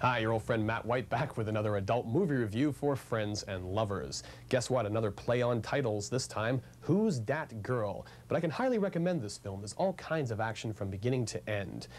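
At a fairly quick pace, a man speaks with vocal fry and ordinary pitch variation. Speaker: TV movie reviewer. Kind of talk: TV review presentation. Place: shop.

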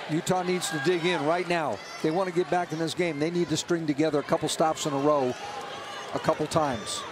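Speaking at a fairly quick pace, a man has a normal speaking voice. His pitch is fairly high and his intonation fairly even. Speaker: color analyst. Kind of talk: live sports commentary. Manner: relaxed, conversational analysis with occasional dry humor.

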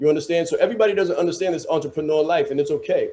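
This is a man speaking. His intonation is fairly even. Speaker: business coach. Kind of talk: live Q&A coaching answer. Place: home room. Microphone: studio mic.

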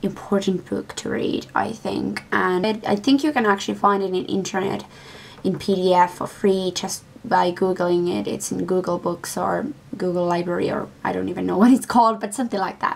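A woman speaks at a moderate pace. Light background noise is present. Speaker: book vlogger. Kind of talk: casual vlog chat. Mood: enthusiastic recommending. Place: home room. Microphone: webcam.

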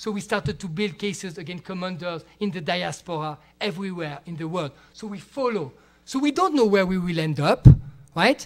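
A man talks at a fairly quick pace, his pitch high for a man. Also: lively intonation, big swings in loudness. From Switzerland. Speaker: international criminal lawyer. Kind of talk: lecture. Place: classroom. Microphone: podium.

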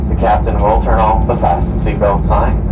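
A man at a fairly quick pace, amid loud background noise. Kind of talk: cabin announcement. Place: plane.

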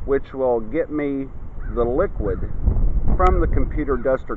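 Against noticeable background noise, a man talks at a fairly slow pace in a dry sound with no echo. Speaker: science demonstrator. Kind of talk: tutorial. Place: garden. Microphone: phone near.

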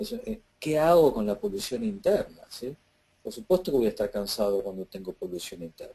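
A man's dark, mellow voice moves at a fairly quick pace with very wide pitch swings. His loudness also swings a lot. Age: 50s. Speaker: emotional healing course teacher. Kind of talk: casual Q&A seminar talk. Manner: halting with many fillers.

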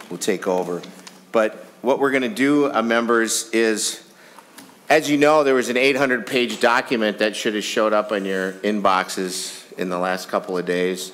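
The man speaks at a moderate pace with ordinary pitch variation. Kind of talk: chairing a hearing, opening remarks. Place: hall. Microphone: podium.

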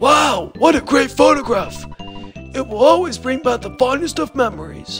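Over clear background music, a man uses a strained put-on character voice at a moderate pace. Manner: salesman-like, upbeat.

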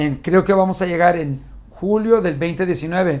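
Animated in tone, a man talks in a high voice with ordinary pitch variation. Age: 50s. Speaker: motivational speaker. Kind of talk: motivational talk to camera. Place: studio.

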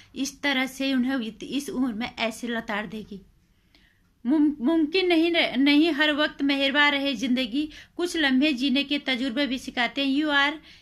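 The delivery is very slow, with ordinary pitch variation. The background stays quiet. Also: woman, high pitch for a woman. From India. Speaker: video blogger / commentator; vlogger. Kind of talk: opinion monologue. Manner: animated. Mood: indignant, scolding. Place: home room. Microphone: phone near.

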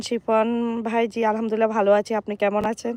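A woman talks with a fairly high pitch. The sound is dry and close, without any echo. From Bangladesh, Noakhali. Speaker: vlogger. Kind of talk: live stream chat. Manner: animated.

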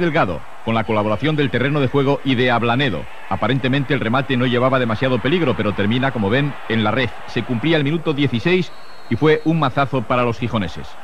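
The speech runs at a very fast pace with ordinary pitch variation. The sound is dry with no echo, and there is light background noise. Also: man. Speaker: TV sports narrator. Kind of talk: commentary.

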